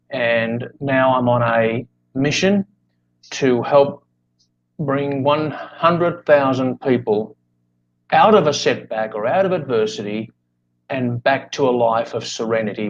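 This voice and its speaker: Ordinary pitch variation marks this man's medium-pitched speech. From Australia. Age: 60s. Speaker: life coach. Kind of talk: interview. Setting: live video podcast. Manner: talkative.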